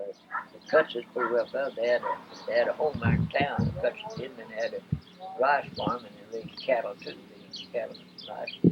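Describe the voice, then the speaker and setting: Noticeable background noise sits under a man talking at a fairly quick pace. His loudness swings widely. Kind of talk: interview answer.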